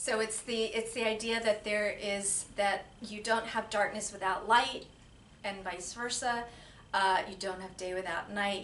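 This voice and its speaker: A woman with an American accent talks at a moderate pace and medium pitch, her intonation monotone and flat. Noticeable background noise and audible room echo surround her. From Silver Spring, Maryland (DC area). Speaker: yoga studio owner. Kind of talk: interview. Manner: halting.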